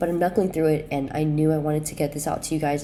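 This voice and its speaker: Over noticeable background noise, a woman speaks with a very deep, low pitch and fairly even intonation. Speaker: futures day trader. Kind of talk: casual talk to camera.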